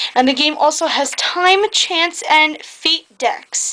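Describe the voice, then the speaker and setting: With noticeable background noise, a woman speaks in a raised, projected voice with ordinary pitch variation. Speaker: board game reviewer. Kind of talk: casual review talk to camera. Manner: hesitant, some stuttering.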